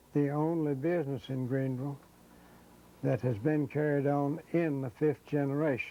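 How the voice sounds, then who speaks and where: A man with an Appalachian accent, fairly high-pitched, with a dark, mellow tone, a moderate pace and fairly even intonation. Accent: Southern US (Appalachian). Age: 80s+. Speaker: shoe repair shop owner. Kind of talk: interview reminiscence.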